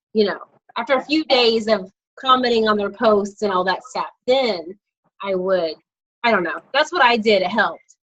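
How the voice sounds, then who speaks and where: This woman has a normal speaking voice, fairly high in pitch. Her pitch moves in an ordinary way at a moderate tempo. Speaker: network marketing team leader. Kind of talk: casual group video call.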